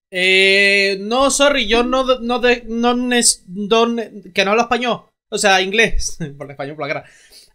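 A man speaks at a high pitch and a fairly slow pace with ordinary pitch variation. His tone is clear and smooth, as well as bright and sharp.

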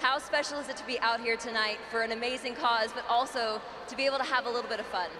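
Against noticeable background noise, a woman talks at a very fast pace in a high pitch with fairly even intonation. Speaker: on-court interviewer. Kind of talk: live event interviewing; interview questions. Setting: stadium with crowd. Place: stadium. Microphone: handheld.

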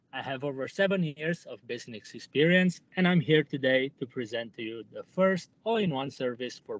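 An ordinary speaking voice from a man at a fairly high pitch, with lively intonation, big swings in loudness, a moderate pace and hardly any pauses. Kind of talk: sales pitch. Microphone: poor audio.

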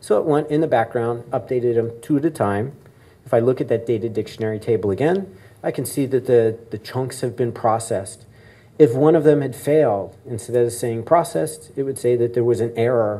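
A man talks at a fairly quick pace with ordinary pitch variation. His tone is dark and mellow. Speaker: conference keynote speaker. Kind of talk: lecture. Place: hall. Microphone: camera far.

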